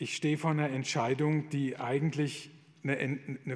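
In an ordinary speaking voice, a man talks with a fairly high pitch and fairly even intonation. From Palatinate, southwest Germany. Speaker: Jesuit priest. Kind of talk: lecture.

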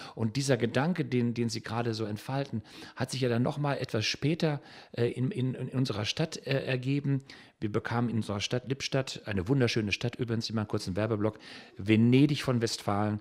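A medium-pitched man at a fairly quick pace, with ordinary pitch variation. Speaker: children's songwriter. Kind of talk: interview. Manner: halting.

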